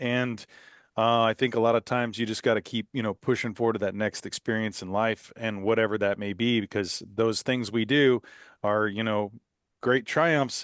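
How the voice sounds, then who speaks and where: A man speaks at a moderate pace with a medium pitch and fairly even intonation, in a normal speaking voice. The sound is dry and close with no echo, over a quiet background. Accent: American. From Texas, Houston. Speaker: podcast host. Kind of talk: podcast interview.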